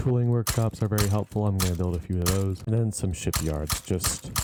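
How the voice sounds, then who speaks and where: The voice moves at a fairly quick pace with ordinary pitch variation and very even loudness. Background noise is noticeable. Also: man. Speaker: gaming video creator. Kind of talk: gameplay commentary. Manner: casual.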